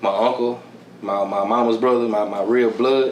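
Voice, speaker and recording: With a strong Houston accent, a man speaks at a moderate pace in a monotone, flat way, amid noticeable background noise and audible room echo. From Houston, Texas (south side). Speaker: music producer and engineer. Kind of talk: casual interview. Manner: relaxed, heavy filler, repeats words.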